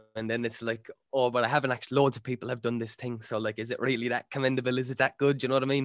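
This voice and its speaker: With a strong Irish accent, the speaker rushes along at a very fast pace in a monotone, flat intonation with hardly any pauses, the sound dry and close with no echo. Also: man, medium pitch for a man. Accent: thick Irish. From Ireland. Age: 20s. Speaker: rapper. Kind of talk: casual chat.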